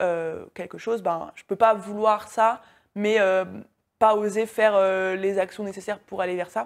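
On a very clean recording with a silent background, a woman talks at a fairly slow pace in a medium pitch, her intonation monotone and flat while her loudness swings widely. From France. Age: 20s. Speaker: online business coach. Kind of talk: interview.

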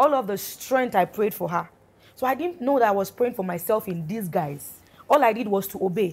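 Her medium-pitched, normal speaking voice moves at a fairly quick pace, and the woman's intonation is lively. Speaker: gospel singer, guest. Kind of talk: interview, personal testimony.

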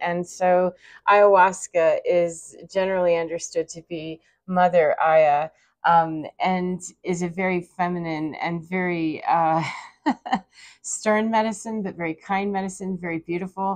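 Against a quiet background, a woman speaks at a fairly slow pace in a monotone, flat intonation. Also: fairly low pitch for a woman. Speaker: spiritual vlogger. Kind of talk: casual vlog chat. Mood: reflective, warm, laughing at times. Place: home room. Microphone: lapel.

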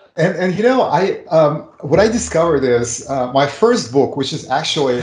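A man at a moderate pace, with audible room echo. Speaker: remote guest. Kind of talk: interview answer. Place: home room. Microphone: video call.

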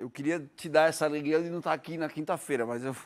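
A man speaks at a fairly high pitch for a man. The recording is very clean, with a silent background. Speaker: football pundit. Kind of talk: casual chat. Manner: animated.

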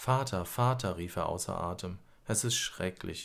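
The tone is calm and soothing. Pitch variation is ordinary. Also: man. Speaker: audiobook narrator. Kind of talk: bedtime story read aloud, scripted narration. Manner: calm, slow, soothing storyteller; gently expressive, lulling.

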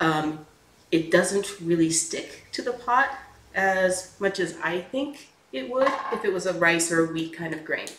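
A fairly low-pitched woman's voice at a fairly slow pace, with ordinary pitch variation and audible room echo. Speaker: home cooking host. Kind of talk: tutorial. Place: kitchen.

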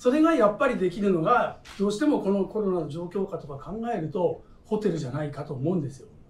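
A man with very wide pitch swings, a very fast pace, big swings in loudness and audible room echo. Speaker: hotel executive chef. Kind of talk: roundtable discussion. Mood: relaxed, candid. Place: cafe.

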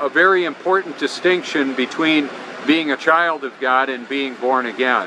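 A man's fairly high voice amid noticeable background noise. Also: dry sound with no echo. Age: 50s. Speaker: YouTube channel creator. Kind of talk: religious monologue to camera. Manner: halting, many fillers. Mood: earnest, preaching. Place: beach. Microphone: phone near.

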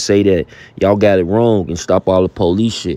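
In a dry sound with no echo, a man with a dark, mellow tone talks at a moderate pace and with fairly even intonation. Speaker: host. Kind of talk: casual intro to a hip-hop news clip. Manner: casual, conversational. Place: home room.

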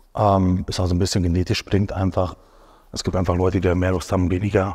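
The background is quiet as a man talks at a fairly quick pace. His voice sits very deep and low. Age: 30s. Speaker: professional bodybuilder. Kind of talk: casual chat. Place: studio. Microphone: lapel.

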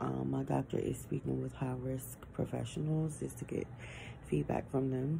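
Her tone is weary. Noticeable background noise surrounds this woman's voice. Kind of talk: casual vlog chat. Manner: weary, low voice lying in bed. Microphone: phone near.

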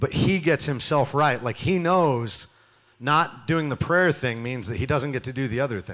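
Against a quiet background, a man talks at a moderate pace in an animated tone with ordinary pitch variation. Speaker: youth pastor. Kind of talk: sermon. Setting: church stage with audience. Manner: loud. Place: church. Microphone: handheld.

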